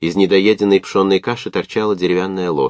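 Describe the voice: The speaker reads aloud plainly, keeping intonation fairly even.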